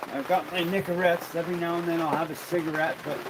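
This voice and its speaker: Through noticeable background noise, a man with a Western Canadian accent speaks at a fairly high pitch in a relaxed tone. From Alberta, Canada. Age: 60s. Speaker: livestreamer and tradesman. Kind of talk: casual livestream chat. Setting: home livestream by a wood fire. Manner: relaxed, repetitive.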